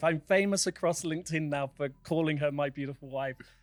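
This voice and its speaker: With a British accent, a man speaks at a moderate pace in a fairly high pitch and with fairly even intonation. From United Kingdom. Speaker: charity founder. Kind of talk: interview podcast. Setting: studio.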